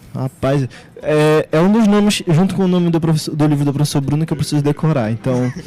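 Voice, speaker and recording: An ordinary speaking voice moves at a fairly quick pace with ordinary pitch variation. Its loudness stays very even. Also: man, fairly high pitch for a man. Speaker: radio host. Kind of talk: casual radio chat. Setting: radio studio.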